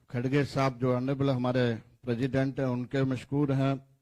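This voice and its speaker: This is a man speaking. His pitch is medium. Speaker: politician. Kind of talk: press conference statement.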